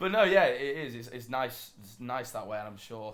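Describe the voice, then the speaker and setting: Talking fairly fast, a man speaks with a British accent. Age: 20s. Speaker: esports player. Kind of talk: casual chat.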